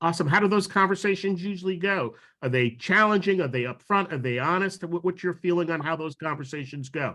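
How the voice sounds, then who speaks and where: Very fast and with hardly any pauses, a man talks in a bright, sharp tone with an American accent. His pitch is high, with ordinary variation. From New York. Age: 60s. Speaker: diversity officer. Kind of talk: training presentation. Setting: video call.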